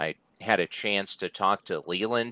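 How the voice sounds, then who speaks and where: A man's bright, sharp tone, monotone and flat, at a fairly slow pace, in a dry, close sound with no echo. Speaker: wrestling interviewer / host. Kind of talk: interview host talking to a guest and reading a sponsor ad.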